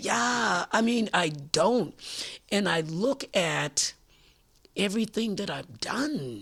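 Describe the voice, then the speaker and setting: Very wide pitch swings and vocal fry mark this voice as it moves at a very slow pace. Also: woman, fairly low pitch for a woman. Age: 80s+. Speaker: community activist. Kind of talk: interview. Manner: halting.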